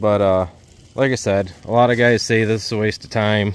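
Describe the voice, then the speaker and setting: The recording is dry with no echo as a man talks at a moderate pace. His fairly low voice stays monotone and flat. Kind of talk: casual vlog chat. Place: forest. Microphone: phone near.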